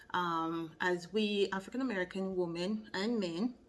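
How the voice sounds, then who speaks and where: Speaking in a Jamaican accent, a woman talks at a fairly slow pace with a fairly low pitch and ordinary pitch variation. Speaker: loctician, hair care vlogger. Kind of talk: tutorial.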